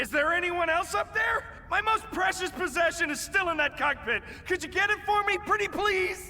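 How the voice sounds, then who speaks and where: A man speaks loudly at a moderate pace in a cartoonish character voice. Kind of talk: comic overacting. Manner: loud, boastful, theatrical.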